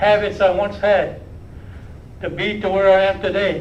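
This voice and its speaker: Over noticeable background noise and audible room echo, a man talks in a high-pitched voice. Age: 80s+. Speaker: First Nation chief. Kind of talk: speech at public briefing. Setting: live-streamed public health media event.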